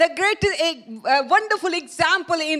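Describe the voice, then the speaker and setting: Noticeable background noise accompanies a woman talking at a very slow pace. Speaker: preacher. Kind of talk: sermon. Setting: church with live stream. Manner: halting.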